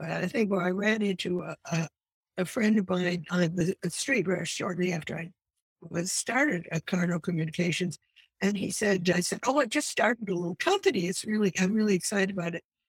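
A woman's somewhat breathy voice at medium pitch, fairly quick, with ordinary pitch variation and a dry, close sound free of echo. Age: 70s. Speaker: author and energy analyst. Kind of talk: interview answers explaining a topic.

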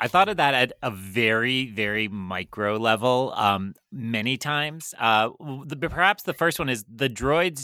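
A man's medium-pitched voice has a bright, sharp tone. The recording is very clean with a silent background and a dry, close sound with no echo. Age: 30s. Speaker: film podcast guest, Star Wars fan. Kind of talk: casual chat.

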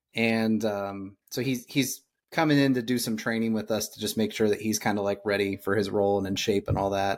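In an American accent, a man with an unremarkable speaking voice talks at a moderate pace and medium pitch, with fairly even intonation, on a very clean recording with a silent background. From Indiana, US Midwest. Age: 30s. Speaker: podcast host. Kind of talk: casual interview chat.

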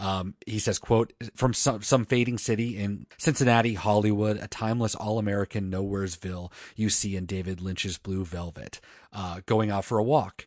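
With a normal speaking voice, a man at a fairly low pitch talks at a moderate pace and with fairly even intonation, the sound dry and close with no echo over a quiet background. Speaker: music podcast host. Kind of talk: casual chat. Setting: remote recording, co-hosts in different states. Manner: playful, joking.

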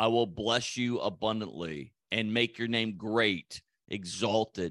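A man with an unremarkable speaking voice talks at a fairly low pitch with ordinary pitch variation, the sound dry and close with no echo over a quiet background. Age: 60s. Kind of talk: solo podcast teaching.

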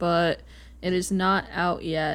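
A woman with a plain, everyday voice, medium pitch and fairly even intonation, in a very clean recording with a silent background. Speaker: podcast co-host. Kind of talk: casual sports-talk podcast chat.

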